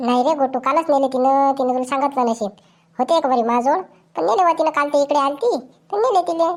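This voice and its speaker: Putting on a character voice, a woman speaks high in pitch at a moderate pace with ordinary pitch variation. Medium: comedy sketch. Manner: chatty, rustic Vidarbha dialect.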